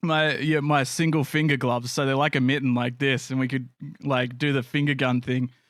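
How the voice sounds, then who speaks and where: Fairly high-pitched and with an Australian accent, a man speaks at a fairly quick pace and with fairly even intonation in a very clean recording with a silent background. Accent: Australian, nasal. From Australia, Canberra area. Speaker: podcast host and streamer. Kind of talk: casual chat.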